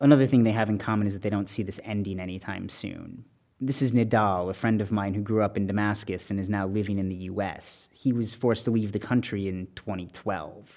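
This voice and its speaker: Fairly quick and fairly even in intonation, a man talks at a fairly low pitch in a plain, everyday voice. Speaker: journalist. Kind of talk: reported narration.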